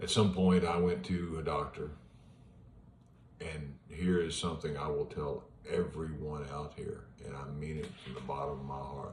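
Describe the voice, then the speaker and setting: Over audible room echo, a man with a very deep, low pitch talks at a moderate pace, his intonation fairly even but his loudness swinging widely. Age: 60s. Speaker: retired police officer sharing his cancer journey. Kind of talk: personal vlog monologue. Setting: at home in front of an iPad. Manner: casual, with hesitations.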